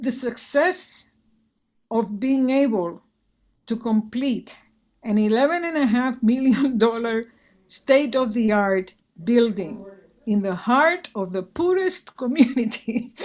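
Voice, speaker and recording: A woman with a Spanish accent speaks at a very slow pace with long, frequent pauses, her fairly high voice marked by lively intonation. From Puerto Rico. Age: 70s. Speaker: retired physician and arts organization director. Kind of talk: interview conversation. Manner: many fillers and repetitions.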